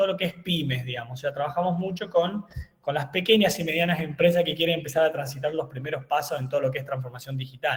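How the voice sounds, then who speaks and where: The speech comes at a very fast pace with hardly any pauses and ordinary pitch variation, against noticeable background noise. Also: man. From Argentina, eastern Córdoba province. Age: 30s. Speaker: engineer and university lecturer. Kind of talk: webinar lecture. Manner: hesitant, many fillers.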